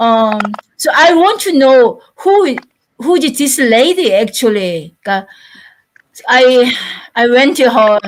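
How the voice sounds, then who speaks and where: A woman with a Korean accent speaks at a very slow pace with long, frequent pauses. Her high voice swings very widely in pitch while her loudness stays very even. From South Korea. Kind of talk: panel discussion. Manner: halting.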